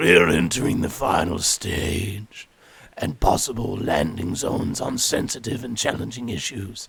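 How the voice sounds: A man puts on a raspy character voice with a menacing, theatrical tone. His pitch sits fairly low and his pace is moderate.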